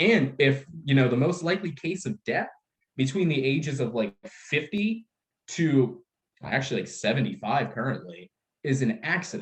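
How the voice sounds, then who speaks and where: A man speaks in a somewhat breathy, animated tone at a moderate pace. His fairly high pitch swings very widely. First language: Russian. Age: 20s. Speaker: life insurance sales trainer. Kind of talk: sales training workshop.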